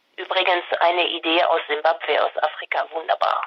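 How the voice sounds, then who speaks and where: Speaking with a French accent, a woman uses a fairly low pitch at a moderate pace. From France. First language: French (speaking German). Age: 60s. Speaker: candidate, retired care manager. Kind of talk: interview. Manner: hesitant, many fillers.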